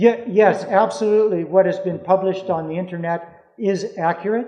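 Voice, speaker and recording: This man's voice is high in pitch and varies in an ordinary way. He keeps a moderate pace. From Canada, British Columbia. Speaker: former cult member and critic. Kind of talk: Q&A at a public talk. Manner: halting.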